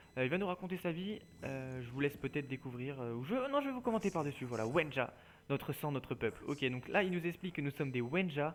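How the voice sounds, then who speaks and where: A man speaks at a very fast pace. His voice is fairly high, with ordinary pitch variation. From France. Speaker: gaming youtuber. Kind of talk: let's play commentary. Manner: hesitant, many fillers; casual.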